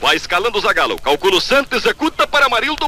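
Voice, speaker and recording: A man with an extremely high pitch talks very fast, his voice swinging very widely in pitch, against noticeable background noise. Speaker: radio sports commentator. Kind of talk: live radio football match commentary. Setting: vintage 1962 radio broadcast recording.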